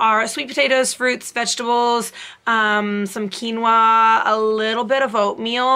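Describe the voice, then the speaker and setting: Speaking at a fairly slow pace, a woman has a bright, sharp tone and monotone, flat intonation. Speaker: fitness vlogger. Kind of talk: casual vlog chat. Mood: friendly, occasional laughs. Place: home room. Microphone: phone near.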